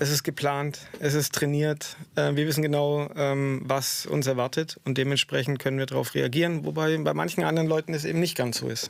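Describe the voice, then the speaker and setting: At a fairly quick pace, a man speaks with fairly even intonation and a fairly high pitch. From southwest Germany (Stuttgart area). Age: 40s. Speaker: stuntman. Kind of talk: radio interview. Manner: hesitant, many filler sounds.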